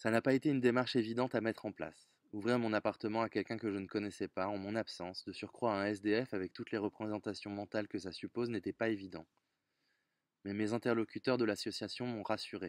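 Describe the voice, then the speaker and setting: Over a quiet background, a man talks at a very fast pace, his fairly low voice keeping fairly even intonation. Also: dry sound with no echo. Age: 30s. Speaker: volunteer donor. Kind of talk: testimony. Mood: earnest, reflective. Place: garden. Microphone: phone near.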